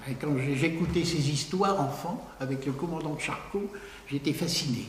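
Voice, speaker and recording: A man's fairly high voice at a moderate pace with ordinary pitch variation and very even loudness, amid noticeable background noise and audible room echo. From northern France, Picardy coast (Berck area). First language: Picard (speaking French). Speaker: lecturer on regional language. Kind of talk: lecture. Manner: halting, with repetitions.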